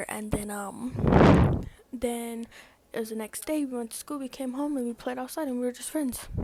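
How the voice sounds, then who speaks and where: Noticeable background noise fills the recording. A woman is the one talking. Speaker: vlogger. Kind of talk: storytime vlog. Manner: fast; casual, filler-heavy.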